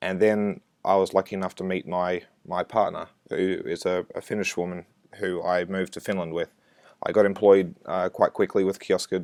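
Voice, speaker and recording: The recording is dry and close with no echo as a man with an Australian accent speaks at a moderate pace. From Australia, Brisbane. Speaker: software developer. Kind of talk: conference talk. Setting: recorded remote presentation.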